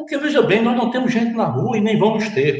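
Speaking fairly quickly, a man has a high-pitched voice. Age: 60s. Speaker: politician, former governor. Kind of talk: political panel debate. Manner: halting, repeats words.

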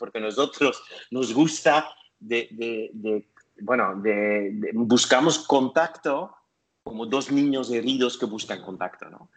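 At a very slow pace, a man talks in a medium pitch with ordinary pitch variation and big swings in loudness. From Belgium. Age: 50s. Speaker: therapist. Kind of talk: interview conversation. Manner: halting.

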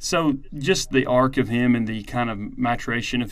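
Here is a man with a normal speaking voice at medium pitch. He talks at a moderate pace. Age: 30s. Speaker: podcast host. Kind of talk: casual chat.

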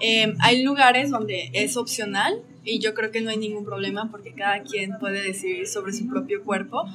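With noticeable background noise behind her, a woman speaks at a moderate pace. Her pitch is fairly high, with ordinary variation. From Mexico, Aguascalientes. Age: 20s. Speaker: traveler and photographer. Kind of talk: interview conversation. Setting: in a café.

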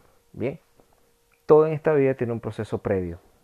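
The speaker has a Venezuelan accent and ordinary pitch variation. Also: man. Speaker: motivational podcaster. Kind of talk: motivational monologue.

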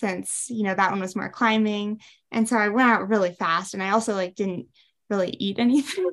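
In a plain, everyday voice, a woman with an American accent talks at a fairly quick pace. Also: medium pitch for a woman. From US Midwest, Wisconsin. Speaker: ultrarunner and running coach. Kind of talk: interview.

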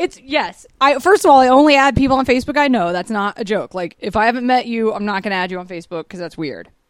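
A woman with an American accent talks at a very fast pace with hardly any pauses, her fairly high pitch swinging very widely. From Georgia, US. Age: 30s. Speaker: podcast host. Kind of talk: casual chat. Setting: studio.

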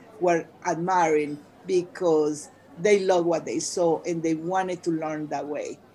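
A woman talks very slowly amid noticeable background noise. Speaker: bilingual educator and teacher trainer. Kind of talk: interview. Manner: animated.

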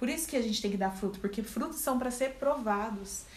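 A woman talks with ordinary pitch variation, and room echo can be heard around her voice. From Brazil, Campinas (São Paulo). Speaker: church member guest. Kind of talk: casual faith discussion.

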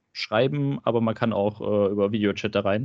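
Someone with a normal speaking voice talks at a fairly quick pace with ordinary pitch variation. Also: man. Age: 20s. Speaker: trainee telling his breakup story. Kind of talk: casual interview.

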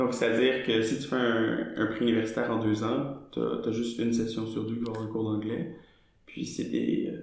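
With a Quebec accent, a man talks in fairly even intonation over noticeable background noise and audible room echo. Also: medium pitch for a man, moderate pace. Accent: Québécois. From Quebec, Montreal. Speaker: student and actor. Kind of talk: casual interview.

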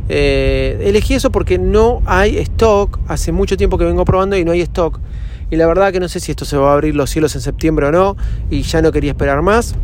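Audible room echo fills the recording. Noticeable background noise is also present. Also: man. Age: 40s. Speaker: podcaster. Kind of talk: casual monologue. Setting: in a car.

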